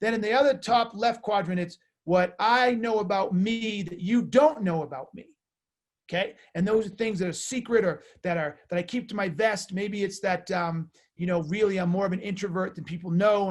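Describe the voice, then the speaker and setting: A loud man speaks at a moderate pace, his high pitch showing ordinary variation. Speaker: sales author and coach. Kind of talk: webinar presentation. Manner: halting, many fillers.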